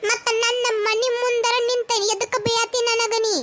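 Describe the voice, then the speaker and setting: In a cartoonish character voice, a woman speaks at a fairly slow pace with an extremely high pitch and monotone, flat intonation. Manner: sharp-tongued, quarrelsome.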